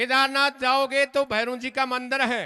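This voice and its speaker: A man projects his voice in a raised, bright, sharp tone. His pitch is extremely high, and his intonation is monotone and flat. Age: 60s. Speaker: folk singer and religious speaker. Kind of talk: religious speech at a stage program.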